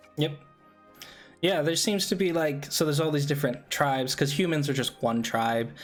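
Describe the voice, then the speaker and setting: A man talks at a fairly quick pace. Music can be heard in the background. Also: ordinary pitch variation. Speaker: podcast host. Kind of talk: casual podcast talk.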